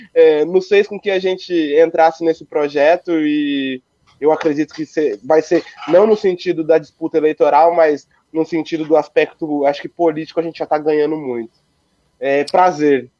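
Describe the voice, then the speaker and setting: This man has a fairly high pitch and a normal speaking voice, with fairly even intonation. He keeps a moderate pace, and the sound is dry and close with no echo. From Brazil, Ourinhos, São Paulo state. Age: 20s. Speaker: local election candidate and history student. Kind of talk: political interview. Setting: livestream.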